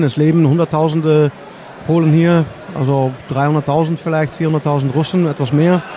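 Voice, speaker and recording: Over noticeable background noise, the speaker uses monotone, flat intonation with a Dutch accent. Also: man. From Netherlands. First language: Dutch (speaking German). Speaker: co-commentator. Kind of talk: live commentary.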